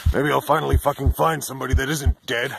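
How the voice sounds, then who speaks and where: A raspy, put-on character voice from a man, medium in pitch, at a very fast pace. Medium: voice reel. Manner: rambling, profane.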